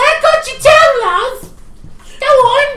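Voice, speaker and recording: A loud, squeaky, bubbly put-on character voice goes at a fairly slow pace. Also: woman, extremely high pitch for a woman. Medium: actual play. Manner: loud, bubbly, calls people love.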